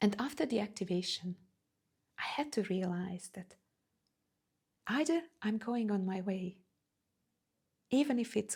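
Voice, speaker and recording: A woman talks at a fairly slow pace, with long, frequent pauses. Her voice is somewhat breathy, with ordinary pitch variation. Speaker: spiritual coach. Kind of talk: personal vlog talk. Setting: standing in front of camera. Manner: halting.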